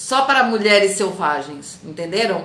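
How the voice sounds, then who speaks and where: Delivered at a fairly slow pace, the speech has an animated tone and lively intonation, with audible room echo and noticeable background noise. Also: woman. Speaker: coach. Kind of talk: live stream talk to viewers.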